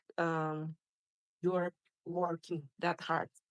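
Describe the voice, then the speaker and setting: A woman with a Spanish accent speaks very slowly at a fairly low pitch. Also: dry, close sound with no echo. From Mexico. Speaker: spinal cord injury survivor and patient representative. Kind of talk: testimony. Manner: halting, with frequent fillers and restarts.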